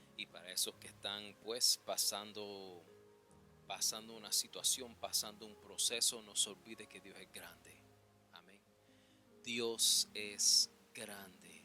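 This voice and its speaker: In a non-native accent, the speaker goes at a very slow pace with monotone, flat intonation and big swings in loudness, music in the background. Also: man. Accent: non-native Spanish, imperfect pronunciation. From New York City, the Bronx. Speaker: preacher. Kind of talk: sermon. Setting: church. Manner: halting, many fillers.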